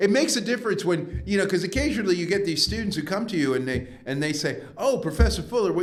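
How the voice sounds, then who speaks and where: A man's high-pitched voice with a New York accent, at a very fast pace with hardly any pauses and very wide pitch swings, amid audible room echo and noticeable background noise. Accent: New York American. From US Northeast, New York. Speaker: professor. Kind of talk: interview. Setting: podcast. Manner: many hesitations and fillers.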